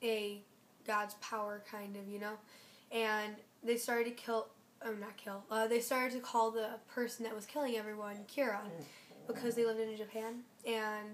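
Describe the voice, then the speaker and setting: A woman with a fairly high pitch speaks at a moderate pace in a monotone, flat intonation with long, frequent pauses. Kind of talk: casual spoken review. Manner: hesitant, rambling.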